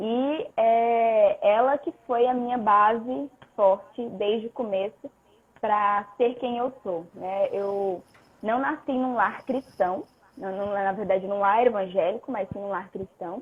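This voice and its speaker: A woman speaks very slowly in a fairly high pitch. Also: ordinary pitch variation. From northern Brazil, Pará. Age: 20s. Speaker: personal trainer. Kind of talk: testimony.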